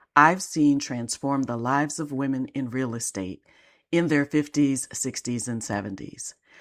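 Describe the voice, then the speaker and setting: In a very deep, low pitch, a woman talks at a fairly slow pace. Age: 60s. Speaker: life and business coach. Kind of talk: podcast monologue.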